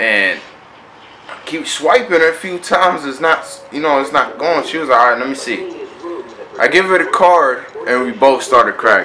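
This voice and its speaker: A man with an animated tone at a moderate pace, long, frequent pauses and big swings in loudness, with music in the background. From Connecticut. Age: 20s. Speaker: vlogger. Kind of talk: casual vlog talk to camera. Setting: road trip, motel and car. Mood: happy, relieved.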